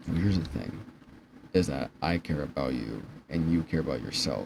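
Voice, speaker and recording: Using a very deep, low pitch with vocal fry, a man speaks at a moderate pace with lively intonation. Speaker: vlogger. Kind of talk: personal vlog monologue. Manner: stuttering, halting. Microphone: poor quality.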